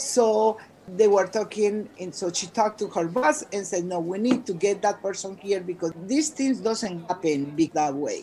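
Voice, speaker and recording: Her voice at a medium pitch, a woman speaks at a moderate pace with lively intonation and hardly any pauses. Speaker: bilingual educator and teacher trainer. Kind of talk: interview. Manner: animated.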